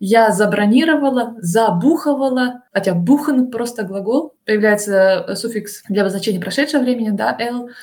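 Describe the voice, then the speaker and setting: This woman's voice is fairly high and somewhat breathy. She moves at a moderate pace with ordinary pitch variation. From Russia. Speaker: translator and Russian teacher. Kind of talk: casual interview. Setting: remote call.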